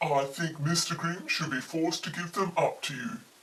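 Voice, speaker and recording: A woman puts on a character voice. She speaks at a fairly low pitch and a moderate pace. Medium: read story. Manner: polite, earnest, formal.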